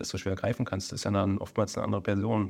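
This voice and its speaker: The recording is very clean with a silent background, and the man's pitch sits fairly low. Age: 40s. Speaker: emergency physician and surgeon. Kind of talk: casual interview. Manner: hesitant, many fillers.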